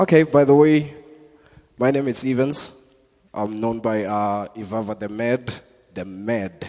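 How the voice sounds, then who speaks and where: Speaking with a South African accent, a man with a medium pitch talks at a fairly slow pace, with ordinary pitch variation and long, frequent pauses. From South Africa, Limpopo. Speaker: comedian. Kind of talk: stand-up. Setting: church stage with audience.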